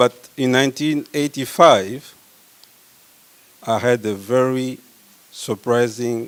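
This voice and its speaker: Over noticeable background noise, a man with a French accent speaks at a fairly slow pace and a medium pitch with ordinary pitch variation and long, frequent pauses, in a dry, close sound with no echo. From Congo. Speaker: medical researcher. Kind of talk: conference talk.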